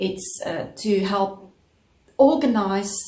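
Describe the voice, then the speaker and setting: Speaking at a very slow pace, a woman has a South African accent and ordinary pitch variation. An audible room echo surrounds her voice. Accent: South African Afrikaans-accented English. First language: Afrikaans. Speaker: crochet vlogger. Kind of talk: casual vlog chat. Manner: halting, many fillers.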